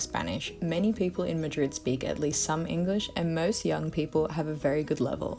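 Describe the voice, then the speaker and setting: Over music in the background, a woman talks at a fairly quick pace in a very deep, low voice with an Australian accent. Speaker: English teacher. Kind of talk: scripted listening lesson monologue. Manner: fast, natural pace.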